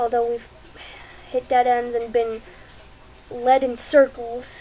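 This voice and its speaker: There is noticeable background noise behind this woman. She speaks at a fairly slow pace with a high pitch. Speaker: vlogger. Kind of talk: personal video update. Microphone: webcam, poor video quality.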